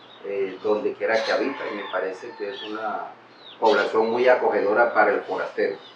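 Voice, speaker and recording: A man talks at a fairly quick pace, his loudness swinging widely. Background noise is noticeable, and room echo can be heard. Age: 60s. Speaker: local resident. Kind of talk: testimony.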